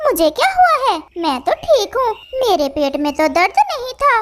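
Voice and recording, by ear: A squeaky, cartoonish character voice moves at a moderate pace with very wide pitch swings. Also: woman, extremely high pitch for a woman.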